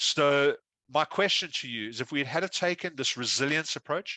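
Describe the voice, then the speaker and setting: With an Australian accent, a man speaks in a fairly high pitch with ordinary pitch variation and a bright, sharp tone, the sound dry and close with no echo over a quiet background. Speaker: risk consultant, keynote speaker. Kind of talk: keynote speech. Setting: conference stage with audience. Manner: fast.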